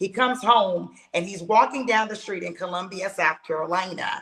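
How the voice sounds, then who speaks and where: Noticeable background noise accompanies speech delivered at a fairly quick clip. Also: woman. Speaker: podcast host. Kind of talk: conversational interview talk.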